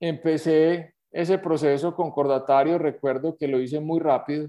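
Fairly slow and fairly even in intonation, a man talks in an ordinary speaking voice. His pitch sits fairly high. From Colombia, Manizales. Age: 50s. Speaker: entrepreneur. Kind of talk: interview testimony.

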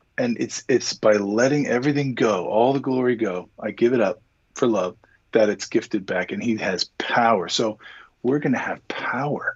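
A man speaks at a moderate pace in an ordinary speaking voice, his medium pitch showing ordinary pitch variation. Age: 50s. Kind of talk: casual interview chat.

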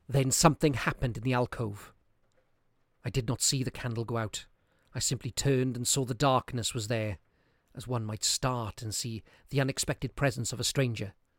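A man's medium-pitched, somewhat breathy voice at a fairly quick pace, with long, frequent pauses and fairly even intonation, in a very clean recording with a silent background and a dry, close sound with no echo. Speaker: narrator reading a classic story aloud. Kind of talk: ghost story telling, dramatic reading aloud of a Victorian horror tale. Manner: suspenseful, building dread as candles go out one by one; voices characters' lines, e.g. rising panic in quoted cries.

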